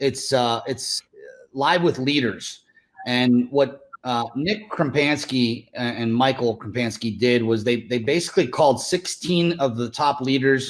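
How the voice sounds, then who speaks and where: A man speaks at medium pitch with ordinary pitch variation. His pace is fairly slow. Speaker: real estate team leader. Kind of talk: interview. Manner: animated.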